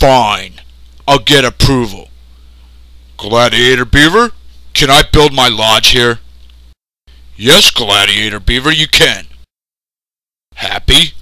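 Using a cartoonish character voice at medium pitch, a man speaks at a fairly slow pace with long, frequent pauses. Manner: pompous, deadpan, commanding.

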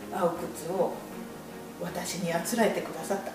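Over clear background music and audible room echo, the speech races along at a very fast pace. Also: woman. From Kakamigahara, Gifu, Japan. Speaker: shoe shop customer giving testimonial. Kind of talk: interview answer. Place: shop. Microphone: camera far.

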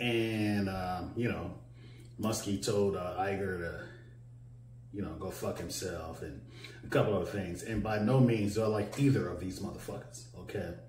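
Over light background noise and audible room echo, a man with a fairly low voice speaks at a moderate pace. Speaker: vlogger. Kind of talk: casual vlog commentary. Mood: irritated, mocking rant. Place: home room.

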